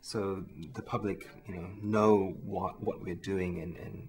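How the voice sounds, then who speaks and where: A fairly low-pitched man's voice with a New Zealand accent, at a moderate pace and with fairly even intonation. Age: 20s. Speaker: research chemist, science communication contestant. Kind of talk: interview.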